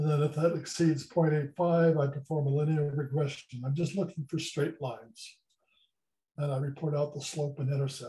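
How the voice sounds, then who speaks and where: A man's somewhat breathy voice, fairly high in pitch with a dark, mellow tone, moves at a moderate pace with fairly even intonation. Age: 70s. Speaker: amateur meteor observer and programmer. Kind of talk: conference presentation. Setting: video call.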